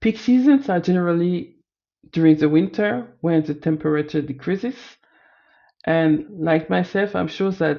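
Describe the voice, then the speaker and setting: A woman speaks with a French accent. Her pitch sits fairly low. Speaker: data analyst student. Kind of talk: presentation of findings. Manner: halting, self-correcting.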